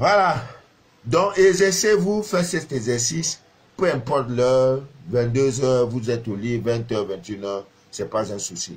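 A man speaks at a very slow pace, somewhat breathy. His pitch swings very widely. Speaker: spiritual advisor and live streamer. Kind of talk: live stream monologue. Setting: Facebook live video. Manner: hesitant, many fillers. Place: home room. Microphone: phone near.

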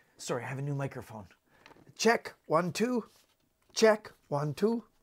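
A man talks at a fairly slow pace. His fairly high voice moves in big pitch swings.

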